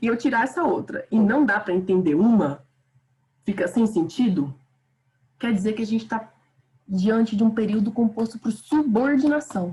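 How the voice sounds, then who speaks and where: A woman with a fairly high pitch and somewhat breathy voice talks at a moderate pace with lively intonation and long, frequent pauses. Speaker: teacher. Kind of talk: online lecture. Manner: animated.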